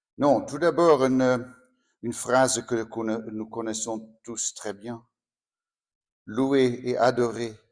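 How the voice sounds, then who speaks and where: In a very clean recording with a silent background, a man speaks very slowly. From Netherlands. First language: Dutch (speaking French). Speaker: priest. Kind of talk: spiritual talk. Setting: sanctuary with audience. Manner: halting.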